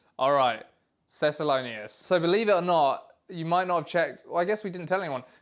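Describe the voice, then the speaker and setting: An animated man with a southern British accent, high in pitch, at a fairly quick pace with ordinary pitch variation. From England. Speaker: animator and voice actor. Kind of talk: casual commentary chat.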